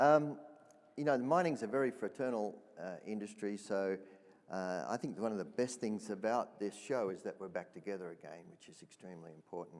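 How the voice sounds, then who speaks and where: A man in an Australian accent, fairly low in pitch and fairly quick, with lively intonation and big swings in loudness. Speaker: mining equipment executive. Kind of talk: panel discussion.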